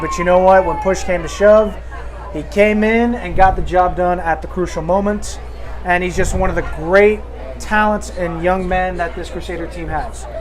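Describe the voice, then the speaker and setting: A man at a moderate pace, with audible room echo and music in the background. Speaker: football color commentator. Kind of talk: live commentary. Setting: press box at stadium.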